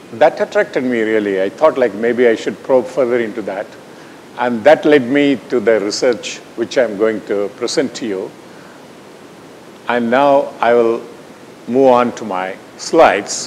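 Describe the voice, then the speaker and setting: The speaker has a Tamil accent and a fairly slow pace with long, frequent pauses. Pitch variation is ordinary, and noticeable background noise is present. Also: man, medium pitch for a man. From India, Tamil Nadu. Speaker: scientist presenting research. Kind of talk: lecture.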